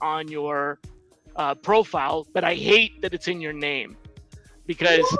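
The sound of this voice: Music sounds in the background while the speaker goes at a fairly slow pace.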